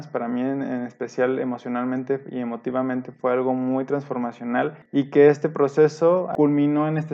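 Here a man talks at a moderate pace with medium pitch. His intonation is monotone and flat. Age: 30s. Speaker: podcast co-host, industrial engineer. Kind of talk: casual chat.

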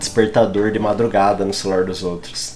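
Audible room echo and noticeable background noise surround speech delivered at a moderate pace. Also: man. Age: 20s. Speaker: podcast host. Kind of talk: casual chat. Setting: live stream.

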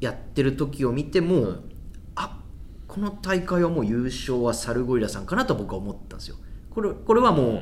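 A man's medium-pitched voice with very wide pitch swings at a fairly quick pace, amid audible room echo. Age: 30s. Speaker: stand-up comedian and podcast host. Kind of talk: casual chat.

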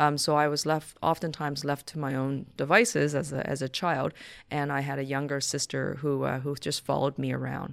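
A woman with vocal fry and a very deep, low pitch talks at a fairly quick pace. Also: very clean recording, silent background. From Toronto, Canada (born Hong Kong). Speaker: city councillor. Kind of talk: interview. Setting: city hall office.

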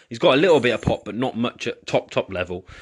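This is a man speaking in an English accent. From England. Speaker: boxing commentator, former amateur boxer. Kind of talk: solo commentary monologue.

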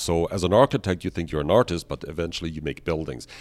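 Here a man speaks with a very deep, low pitch and ordinary pitch variation. The recording is very clean, with a silent background. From Austria (Vienna), born in Canada. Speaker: architecture professor and woodcarver. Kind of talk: podcast interview.

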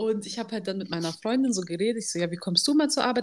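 A woman's voice, animated in tone and lively in intonation. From Germany. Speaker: podcast co-host. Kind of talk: casual chat. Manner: animated, code-switching German and English.

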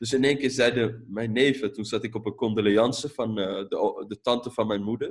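Using an ordinary speaking voice, a man speaks at medium pitch. His pace is moderate and his intonation fairly even. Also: hardly any pauses. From Netherlands. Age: 20s. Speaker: filmmaker and journalist. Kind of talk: casual podcast interview.

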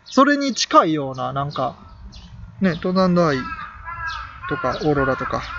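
Through noticeable background noise, a man with a high pitch speaks at a moderate pace, taking long, frequent pauses as his pitch swings very widely. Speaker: podcast host. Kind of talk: casual chat.

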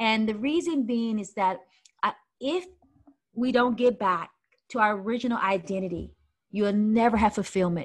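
An animated tone with lively intonation, somewhat breathy, broken by long, frequent pauses. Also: woman, fairly high pitch for a woman, moderate pace. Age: 50s. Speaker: life strategist and minister. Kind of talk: casual chat.

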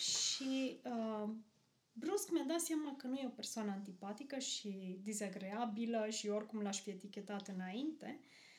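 With audible room echo around her, a woman speaks fairly slowly at a fairly high pitch, her pitch moving in an ordinary way. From Romania, Arad. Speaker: kindergarten teacher, pastor's wife. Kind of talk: casual chat.

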